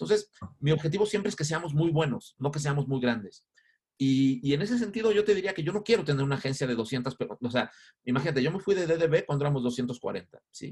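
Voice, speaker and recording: Energetic and somewhat breathy, a man speaks at a fairly quick pace. His intonation is lively. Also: fairly high pitch for a man. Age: 50s. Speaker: advertising agency founder. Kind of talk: interview.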